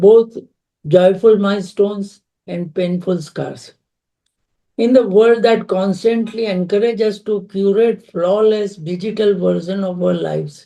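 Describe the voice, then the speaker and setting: At a fairly slow pace, a man speaks in a high pitch with a dark, mellow tone and fairly even intonation. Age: 70s. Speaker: author. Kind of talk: interview. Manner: halting.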